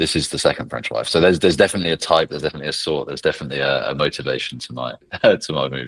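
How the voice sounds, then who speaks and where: A man with a British accent at a very fast pace, big swings in loudness, and noticeable background noise. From England. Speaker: legal tech professional, ex-lawyer. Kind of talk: casual podcast interview.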